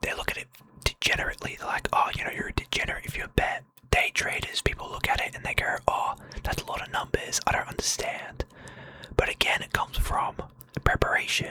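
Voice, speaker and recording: Over noticeable background noise, someone whispers very fast. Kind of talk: motivational talk. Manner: whispered, soft-spoken.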